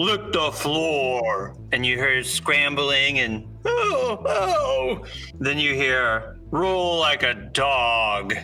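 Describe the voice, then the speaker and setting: Over clear music in the background, a man uses a put-on character voice at a fairly high pitch and a very slow pace. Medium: actual play.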